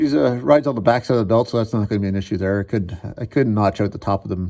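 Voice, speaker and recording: Ordinary pitch variation at a very fast pace. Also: man, fairly low pitch for a man. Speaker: car DIY youtuber. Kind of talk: casual workshop tutorial. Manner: halting; loud.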